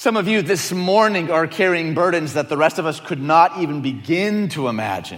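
Lively intonation and an American accent mark this moderately paced speech, which has hardly any pauses. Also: man, high pitch for a man. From Detroit, US Midwest. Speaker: teaching pastor. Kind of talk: sermon. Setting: church with audience. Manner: animated.

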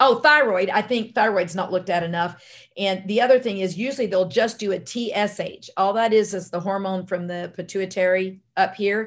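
Against a quiet background, a woman with an American accent speaks in a medium pitch at a moderate pace, with ordinary pitch variation and hardly any pauses. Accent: Southern US, sounds Louisiana. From US South, army brat raised across the US. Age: 60s. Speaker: holistic medicine doctor. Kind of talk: interview. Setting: remote call.

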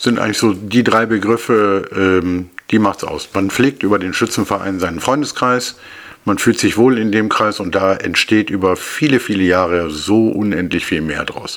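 A man with an ordinary speaking voice, fairly low in pitch, at a moderate pace with ordinary pitch variation. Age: 50s. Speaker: marksmen's club king. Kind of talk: casual interview. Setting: studio, face to face.

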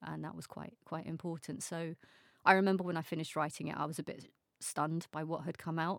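A woman's very deep, low voice, very fast and monotone, with big swings in loudness, in a very clean recording with a silent background. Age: 40s. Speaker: author. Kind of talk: casual chat.

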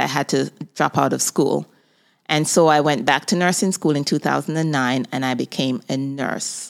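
On a very clean recording with a silent background, a woman speaks in a very deep, low pitch with vocal fry and ordinary pitch variation. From Jamaica. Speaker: podcast host and nurse. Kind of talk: personal monologue.

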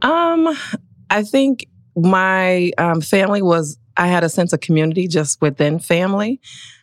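Speaking fairly slowly in a plain, everyday voice, a woman with an American accent has a medium pitch, ordinary pitch variation and very even loudness, in a dry, close sound with no echo. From Milwaukee, Wisconsin. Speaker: corporate lawyer. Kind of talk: podcast interview.

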